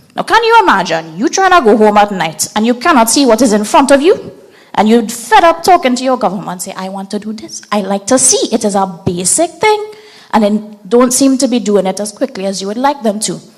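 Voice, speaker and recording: A woman talks at a fairly quick pace in a fairly high voice with lively intonation. Noticeable background noise runs underneath. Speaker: open source mapping trainer. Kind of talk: training workshop presentation.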